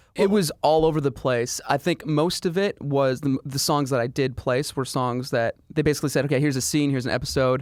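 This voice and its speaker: In a normal speaking voice, a man with a fairly high pitch and ordinary pitch variation talks at a fairly quick pace with hardly any pauses and very even loudness, the sound dry and close with no echo. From Canada. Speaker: pop singer-songwriter. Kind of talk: casual interview. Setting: studio.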